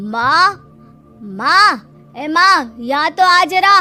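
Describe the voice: Shouting in a put-on character voice, a woman speaks at a very slow pace over faint music in the background.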